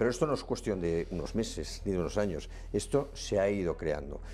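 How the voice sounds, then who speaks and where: The speaker has a Catalan accent and keeps a moderate pace. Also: man. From Catalonia. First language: Catalan (speaking Spanish). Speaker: political candidate. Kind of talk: political interview. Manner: halting.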